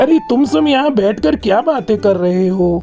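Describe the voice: Over clear music in the background, a cartoonish character voice at a fairly high pitch talks at a moderate pace.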